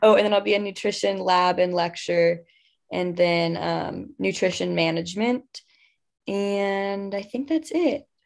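A woman speaks in a normal speaking voice with an American accent, at a fairly slow pace. Her pitch sits in the medium range and varies in an ordinary way. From Texas, Houston. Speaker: university student. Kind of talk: casual chat.

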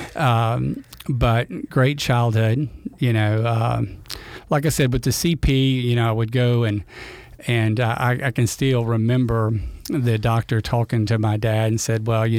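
Speaking with a Louisiana accent, a man keeps a medium pitch and fairly even intonation. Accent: Louisiana Southern US. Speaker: retired school principal. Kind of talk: casual interview chat. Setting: studio.

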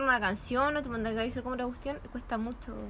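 With a Chilean accent, a high-pitched woman speaks at a very fast pace. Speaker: university student. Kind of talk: casual chat. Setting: outdoors in a patio.

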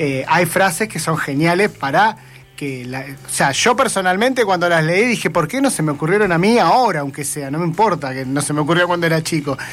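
With lively intonation and a high pitch, a man talks at a fairly quick pace over noticeable background noise. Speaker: radio host. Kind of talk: casual chat.

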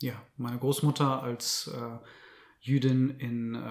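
A man's medium-pitched voice holds a monotone, flat intonation. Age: 30s. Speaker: journalist and author. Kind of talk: interview. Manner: careful, measured.

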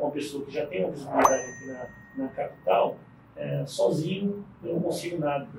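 Noticeable background noise and audible room echo surround speech delivered at a moderate pace. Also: man. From Brasília, Brazil (born in Paraíba). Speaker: business owner. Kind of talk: interview. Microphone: poor audio quality.

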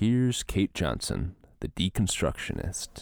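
A man with an American accent speaks fairly slowly, with vocal fry and lively intonation, on a very clean recording with a silent background. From Minnesota, US. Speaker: podcast host. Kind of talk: casual interview conversation; scripted introduction. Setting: warehouse with microphones.

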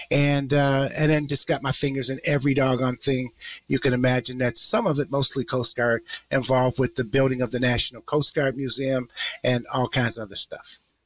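A man's normal speaking voice with an American accent, medium-pitched with fairly even intonation, in dry, close sound with no echo. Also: fairly quick pace. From Detroit, Michigan. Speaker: retired senior military leader, teacher. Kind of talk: interview conversation.

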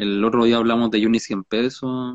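A man with a Chilean accent speaks at a fairly slow pace. His pitch is medium and his intonation fairly even. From Chile, Valparaíso. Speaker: podcast co-host. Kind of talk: casual chat.

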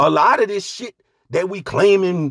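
An animated tone at a moderate pace, in a dry, close sound with no echo. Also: man. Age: 40s. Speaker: podcast host. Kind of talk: solo monologue.

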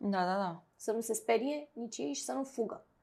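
This woman's tone is dark and mellow. She talks at a moderate pace. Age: 40s. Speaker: clinical psychologist. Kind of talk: interview.

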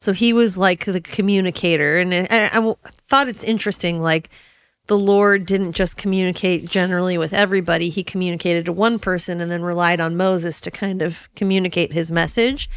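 A woman with an ordinary speaking voice talks fairly quickly at a medium pitch with fairly even intonation, on a very clean recording with a silent background. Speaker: Bible podcast co-host. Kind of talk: casual Bible discussion.

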